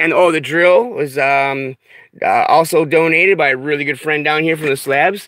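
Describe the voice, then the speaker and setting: A man with a fairly high pitch and ordinary pitch variation talks fairly quickly against noticeable background noise. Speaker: off-grid vlogger. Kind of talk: casual vlog talk to camera. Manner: animated, many fillers.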